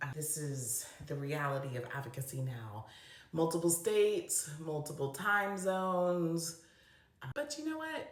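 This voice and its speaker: Fairly slow delivery with ordinary pitch variation over noticeable background noise. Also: woman, fairly low pitch for a woman. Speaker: special education advocate. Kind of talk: casual talk to camera. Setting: bathroom.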